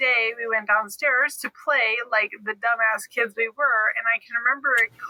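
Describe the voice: Someone does plain reading aloud.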